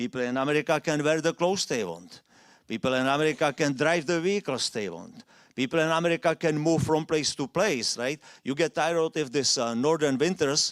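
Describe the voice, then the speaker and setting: Speaking at a fairly quick pace with lively intonation, a man with a non-native accent and fairly high pitch comes through on a very clean recording with a silent background. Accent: foreign accent, noticeable. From Czechoslovakia. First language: Czech or Slovak. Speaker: immigrant speaker. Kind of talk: public talk.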